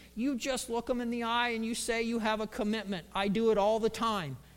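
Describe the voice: Putting on a character voice, a man speaks at an extremely high pitch and a fairly quick pace.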